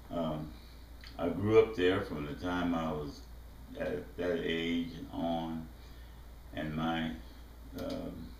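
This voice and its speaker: A man with a Mississippi accent talks at a very slow pace in a very deep, low pitch, using ordinary pitch variation, with long, frequent pauses and audible room echo. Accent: Southern US, Mississippi. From US South, southwest Mississippi. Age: 70s. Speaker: visual artist. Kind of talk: autobiographical talk. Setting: art studio. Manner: halting, many fillers.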